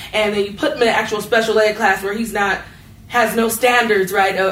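Over noticeable background noise, a woman speaks at a fairly quick pace and a medium pitch. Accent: American. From North Las Vegas, Nevada. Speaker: local government official. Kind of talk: panel discussion. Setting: stage with audience.

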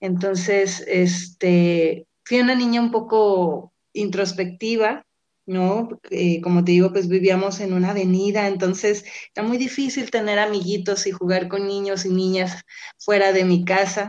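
A woman speaks at a fairly slow pace in a medium pitch with fairly even intonation, an ordinary speaking voice. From Mexico, Guadalajara and Colima. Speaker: graduate student and radio communicator. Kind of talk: interview.

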